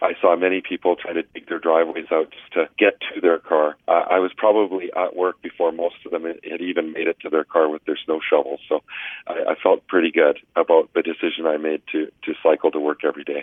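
A man with a Canadian accent talks with hardly any pauses. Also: fairly quick pace. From coastal British Columbia. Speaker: member of parliament. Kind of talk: interview.

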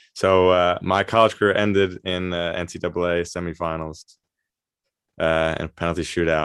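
A man with an American accent talks in a very deep, low pitch and a flat monotone at a moderate pace against a quiet background. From New York, US. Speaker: semi-professional soccer player. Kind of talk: casual interview.

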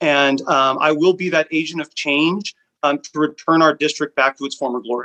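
A man at a moderate pace, an ordinary speaking voice with fairly even intonation, dry and close with no echo. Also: fairly high pitch for a man. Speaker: school board candidate. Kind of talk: candidate interview, Q&A.

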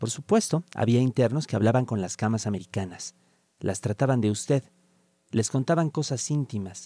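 A man with a medium pitch talks at a moderate pace with lively intonation, his dark, mellow tone captured in a dry, close sound with no echo. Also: very clean recording, silent background. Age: 40s. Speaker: writer. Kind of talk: reading aloud.

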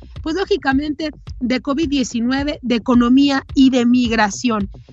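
There is music in the background. A woman talks at a high pitch. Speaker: political commentator. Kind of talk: editorial commentary.

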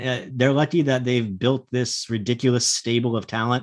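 Over a quiet background, a man talks at a moderate pace with fairly even intonation in a normal speaking voice. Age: 30s. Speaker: hockey analyst. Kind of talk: casual chat.

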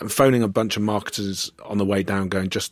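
Here a man talks at a fairly quick pace. His pitch sits fairly low. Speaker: podcast host. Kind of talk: interview chat. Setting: studio.

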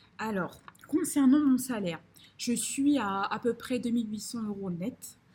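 Somewhat breathy, a woman's voice comes through. It sits fairly high in pitch. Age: 20s. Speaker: finance consultant and property investor. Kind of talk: casual interview. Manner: halting, many fillers and repetitions.

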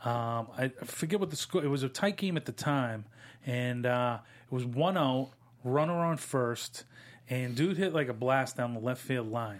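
The speaker has an American accent, talks at a moderate pace, and shows ordinary pitch variation. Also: man, medium pitch for a man. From Massachusetts. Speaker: sports podcast host. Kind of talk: casual sports chat. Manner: animated.

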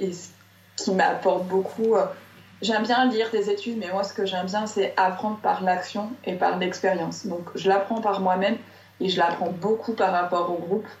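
Over noticeable background noise and audible room echo, a woman at medium pitch talks at a moderate pace in a flat monotone. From southern France, Marseille. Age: 30s. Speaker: entrepreneur, creator of gratitude journals. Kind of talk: interview. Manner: hesitant, many fillers.

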